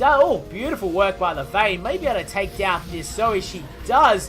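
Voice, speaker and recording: Music plays in the background as a man talks with an Australian accent. His pitch is high and his tone excited. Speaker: gaming commentator / shoutcaster. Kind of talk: esports-style game shoutcast commentary. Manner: excited, fast-paced play-by-play.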